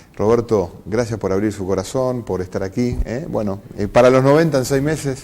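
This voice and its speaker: At a moderate pace with hardly any pauses, an unremarkable speaking voice moves through ordinary pitch variation. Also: man, medium pitch for a man. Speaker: TV interview host. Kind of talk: interview.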